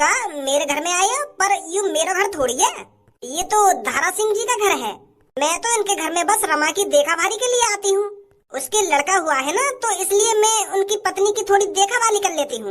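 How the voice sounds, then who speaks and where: Putting on a cartoonish character voice, a woman speaks at an extremely high pitch and fairly quick pace with lively intonation. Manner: blunt, rustic.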